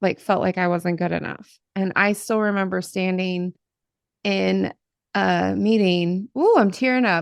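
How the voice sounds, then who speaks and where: A woman with an American accent speaks at a fairly slow pace in a medium pitch, the sound dry and close with no echo. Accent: faint Appalachian, mostly hidden. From US, Appalachia / Southern Ohio. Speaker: podcast host, career coach. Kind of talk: interview podcast. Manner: animated.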